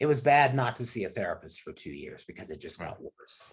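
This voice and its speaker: This voice is somewhat breathy, with lively intonation and a moderate pace. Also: man. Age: 60s. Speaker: fitness industry executive. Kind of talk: interview. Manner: halting.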